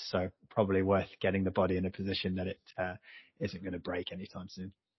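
A man's very deep, low voice with an English accent, fairly quick and flat in a monotone. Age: 30s. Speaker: ultimate frisbee player. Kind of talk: podcast interview. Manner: halting.

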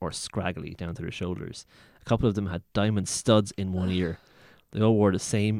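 The voice reads naturally. Its intonation remains fairly even.

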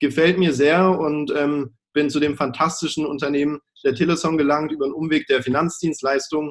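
A man speaks in a monotone, flat way at a fairly high pitch. His pace is moderate and his loudness very even. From Baden-Württemberg, Germany (village). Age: 20s. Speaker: sales manager at an energy supplier. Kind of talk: interview, promotional. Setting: video call.

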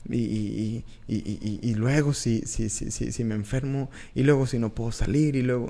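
A man's dark, mellow tone at a medium pitch, with fairly even intonation and a fairly slow pace. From Mexico, Tamaulipas border (Reynosa). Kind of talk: devotional teaching monologue. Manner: hesitant, many fillers and repetitions.

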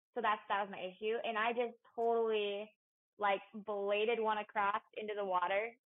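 A woman at a fairly high pitch and moderate pace. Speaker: professional golfer. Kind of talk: casual chat. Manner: animated.

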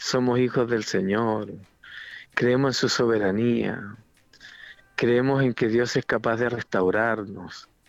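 A man speaks very slowly in a flat monotone with very even loudness. His pauses are long and frequent. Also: medium pitch for a man. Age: 50s. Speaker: pastor. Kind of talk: interview.

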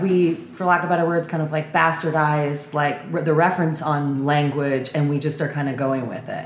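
There is noticeable background noise behind this woman. She has an American accent and a very deep, low pitch. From California. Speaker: podcast host. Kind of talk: casual chat.

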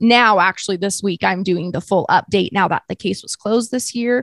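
A woman with an American accent and a normal speaking voice talks at a medium pitch and a moderate pace. Her pitch varies in an ordinary way, and the sound is dry and close with no echo. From US West (Utah). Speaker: podcaster. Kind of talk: casual interview.

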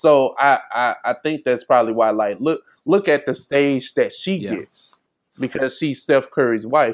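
At a moderate pace, a man talks in an unremarkable speaking voice whose fairly high pitch shows ordinary variation. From St. Louis, Missouri. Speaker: podcast co-host. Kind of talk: casual chat.

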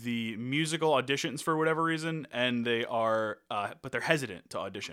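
A man in an ordinary speaking voice talks at a fairly quick pace with a medium pitch and lively intonation, in a very clean recording with a silent background. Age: 30s. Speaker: podcast co-host. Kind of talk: casual chat; reading a plot summary.

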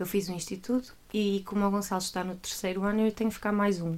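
A woman in a Porto accent, medium pitch, monotone, flat intonation and a fairly quick pace. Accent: northern Portuguese (Porto). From northern Portugal, Porto area. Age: 20s. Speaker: church worker, former teacher. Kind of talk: casual chat.

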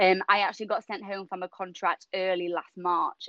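A woman's medium-pitched voice in a northern English accent, at a moderate pace. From Yorkshire, northern England. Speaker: personal trainer. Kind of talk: casual interview chat. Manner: animated, laughs often.

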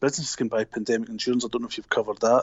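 The speaker has a Scottish accent and lively intonation. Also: man. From Glasgow, Scotland. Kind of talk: casual interview chat. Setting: phone call.

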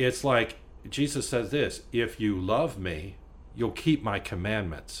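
Speaking at a fairly slow pace, a man uses lively intonation and vocal fry. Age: 50s. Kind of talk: casual chat.

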